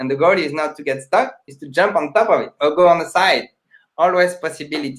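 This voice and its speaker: At a fairly quick pace, a man with a fairly high pitch speaks with ordinary pitch variation and big swings in loudness. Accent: non-native. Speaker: magician, charity founder. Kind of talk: casual chat.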